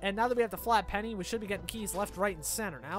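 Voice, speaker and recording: High-pitched male voice over music in the background. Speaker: gaming YouTuber. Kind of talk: casual let's play commentary.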